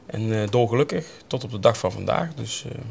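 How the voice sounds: A man's fairly low, slightly mellow voice with vocal fry, lively intonation and a fairly quick pace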